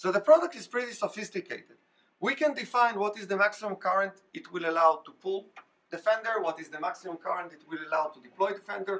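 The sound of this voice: The speaker talks at a fast pace with few pauses. The tone is bright and sharp, with ordinary pitch variation. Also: man, high pitch for a man.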